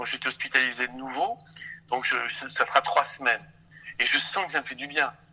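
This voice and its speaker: A man speaks at a moderate pace with a fairly high pitch. His tone is bright and sharp. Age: 60s. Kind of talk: phone interview.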